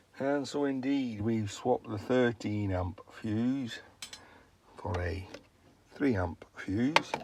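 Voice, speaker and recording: Against noticeable background noise, a man speaks very slowly at a medium pitch, with ordinary pitch variation and long, frequent pauses. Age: 60s. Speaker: vlogger. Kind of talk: casual vlog narration. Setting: garden shed. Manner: relaxed, chatty.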